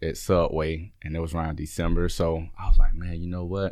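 A man with an American accent. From Alabama, Birmingham. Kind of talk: interview. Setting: studio.

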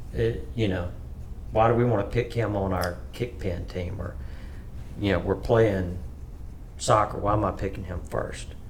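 With an Alabama accent, a man with a fairly low voice speaks at a moderate pace, with lively intonation and long, frequent pauses, in a room with audible echo. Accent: US Southern (Alabama). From Alabama, Tuscaloosa. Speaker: business owner. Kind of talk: casual interview, storytelling.

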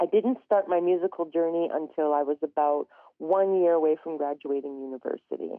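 This woman talks at a fairly quick pace. Her pitch sits fairly low. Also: ordinary pitch variation. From northern Alberta, Canada (Treaty 8 territory). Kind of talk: radio interview. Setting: phone or remote line.

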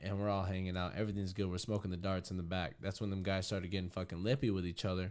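Delivered at a very fast pace with hardly any pauses, the voice has an American accent and a monotone, flat intonation. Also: man, very deep, low pitch for a man, very clean recording, silent background. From Arizona, Winkelman. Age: 20s. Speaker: podcast guest, friend of host. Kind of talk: casual chat.

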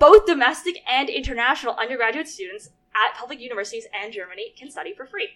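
The pitch swings very widely, and the tone comes across bright and sharp. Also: woman. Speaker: podcast co-host. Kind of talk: casual chat.

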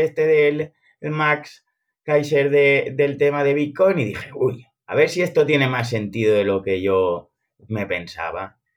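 This man uses a normal speaking voice with a fairly high pitch. His intonation is lively and his pace fairly slow. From Alcoy, Valencian Community, Spain. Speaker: crypto investor and metaverse builder. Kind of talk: podcast interview.

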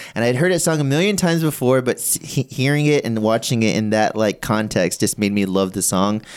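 A man with a normal speaking voice talks at a fairly quick pace and a medium pitch, using lively intonation with hardly any pauses. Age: 30s. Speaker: podcast host. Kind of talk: casual chat.

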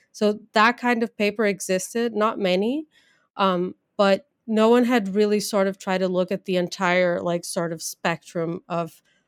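On a very clean recording with a silent background, a woman with a Portuguese accent speaks at a fairly slow pace with fairly even intonation, the sound dry and close with no echo. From Brazil. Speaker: geneticist, assistant professor. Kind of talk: interview.

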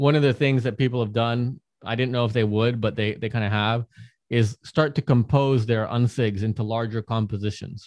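With an American accent, a man speaks in a normal speaking voice at medium pitch and a moderate pace, using fairly even intonation, in a very clean recording with a silent background and a dry, close sound with no echo. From United States. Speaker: artist and NFT project founder. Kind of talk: podcast interview, presentation.

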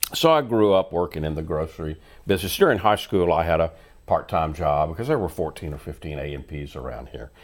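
A man with a very deep, low pitch and vocal fry talks very fast with ordinary pitch variation on a very clean recording with a silent background. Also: big swings in loudness. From Louisiana (Bossier City). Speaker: life coach and radio host. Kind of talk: casual interview chat.

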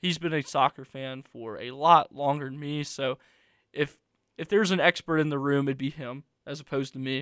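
Here a man has an unremarkable speaking voice, pitched fairly high, with big swings in loudness. The sound is dry and close, with no echo. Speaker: college radio sports host. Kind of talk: live radio sports show, co-host chat. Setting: radio studio. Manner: upbeat, conversational, quick-talking.

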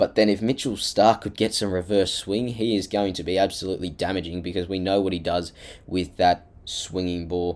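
On a very clean recording with a silent background, a man with an Australian accent talks in a very deep, low voice with fairly even intonation and hardly any pauses. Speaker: sports podcaster. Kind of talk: solo monologue preview.

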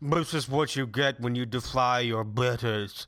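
Using a put-on character voice, a man speaks at a medium pitch. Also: moderate pace. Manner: blubbering, haughty and tearful.

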